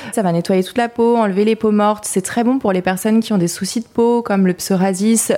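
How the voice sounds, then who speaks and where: Her voice is medium in pitch with a dark, mellow tone, and this woman keeps her intonation fairly even. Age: 30s. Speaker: spa co-founder and manager. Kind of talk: interview. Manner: hesitant fillers.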